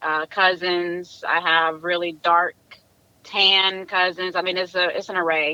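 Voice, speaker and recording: Her intonation is monotone and flat, at a medium pitch for a woman. She speaks at a fairly slow pace in a Southern US accent. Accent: country Southern. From South Carolina. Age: 30s. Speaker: interview guest. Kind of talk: casual interview.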